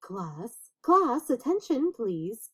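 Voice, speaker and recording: Put-on character voice from a woman, high in pitch and swinging very widely. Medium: read story. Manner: gushing, brisk.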